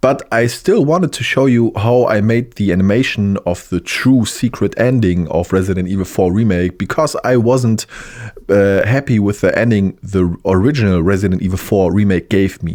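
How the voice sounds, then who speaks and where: A man's fairly low voice with a German accent, moderate pace and ordinary pitch variation. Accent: German accent, self-described bad English. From Germany. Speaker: 3D animator / content creator. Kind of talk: tutorial. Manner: halting, hesitant with fillers.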